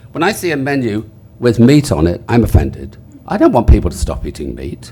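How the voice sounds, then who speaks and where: Over noticeable background noise, a man with an English accent talks at a fairly quick pace in a medium pitch, his voice making very wide pitch swings. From England. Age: 70s. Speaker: author. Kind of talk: panel discussion.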